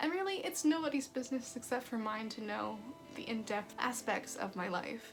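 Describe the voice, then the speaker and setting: Over music in the background, a woman talks at a moderate pace with a calm tone. Her fairly high voice has lively intonation. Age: 20s. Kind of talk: casual talk to camera.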